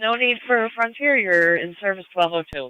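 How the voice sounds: A man speaks high for a man at a moderate pace, with ordinary pitch variation. His tone is clear and smooth, in a dry, close sound with no echo.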